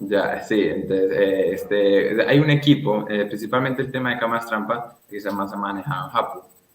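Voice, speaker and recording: A man's fairly low voice with ordinary pitch variation, music in the background. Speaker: conservation foundation president, fieldwork researcher. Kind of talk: radio interview answer.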